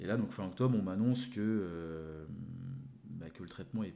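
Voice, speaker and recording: Ordinary pitch variation and a moderate pace mark this voice. Its tone is dark and mellow. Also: man. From France, Le Mans and Nantes. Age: 20s. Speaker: cancer survivor sharing life story. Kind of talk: interview. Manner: hesitant, many fillers and repetitions.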